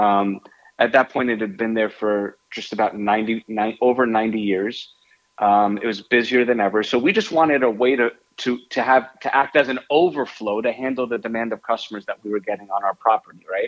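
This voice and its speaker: A man's ordinary speaking voice at medium pitch and moderate pace, fairly even in intonation, with a dry, close sound with no echo. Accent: American. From New York, Westchester area. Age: 40s. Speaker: restaurant owner. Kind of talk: interview.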